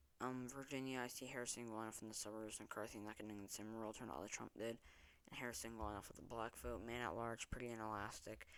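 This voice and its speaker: A soft-spoken man at medium pitch, very fast and monotone in flat intonation. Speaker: political commentary youtuber. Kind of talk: election prediction monologue. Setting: at home at night. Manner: quiet, talking softly; hesitant, many filler ums.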